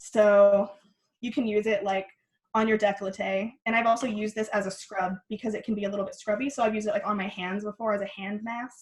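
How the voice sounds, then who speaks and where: A woman talks at a very fast pace with a fairly high pitch. Her voice is somewhat breathy and her intonation monotone and flat. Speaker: skincare workshop guest teacher. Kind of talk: online workshop tutorial.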